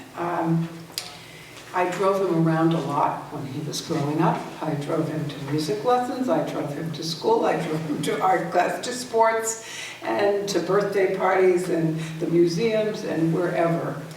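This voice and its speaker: Against noticeable background noise, a speaker with an American accent talks at a fairly slow pace with ordinary pitch variation. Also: woman, fairly low pitch for a woman. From Worcester, Massachusetts. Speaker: poet. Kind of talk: introducing a poem to a live audience.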